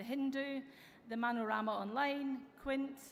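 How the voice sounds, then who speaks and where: A woman with an American accent speaks with ordinary pitch variation, with audible room echo and noticeable background noise. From Europe. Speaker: tech company executive. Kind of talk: conference keynote speech. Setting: stage with audience. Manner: some filler hesitations (um).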